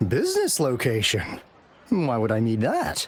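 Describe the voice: A man puts on a character voice at medium pitch with a slightly husky edge. He speaks at a fairly slow pace with very wide pitch swings.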